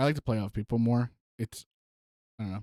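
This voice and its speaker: Soft-spoken and at a medium pitch, a man speaks in a dark, mellow tone with ordinary pitch variation, recorded very cleanly with a silent background and a dry, close sound with no echo. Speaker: podcast host and streamer. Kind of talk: casual chat. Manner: halting.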